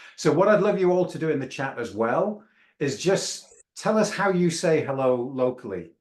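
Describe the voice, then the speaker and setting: A man with a Yorkshire accent at a moderate pace, with a fairly high pitch and lively intonation. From Yorkshire, England. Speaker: webinar host. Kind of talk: panel discussion.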